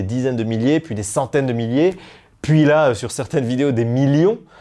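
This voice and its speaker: Against a quiet background, a man with a dark, mellow tone speaks at a medium pitch and a moderate pace, his pitch varying in an ordinary way. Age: 20s. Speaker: YouTuber. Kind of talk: interview testimony. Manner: hesitant, many fillers.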